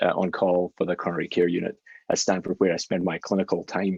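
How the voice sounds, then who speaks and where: Speaking very fast with a Scottish accent, a man comes through in a dry, close sound with no echo. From Scotland, Glasgow. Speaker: physician scientist. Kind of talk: lecture. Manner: hesitant fillers.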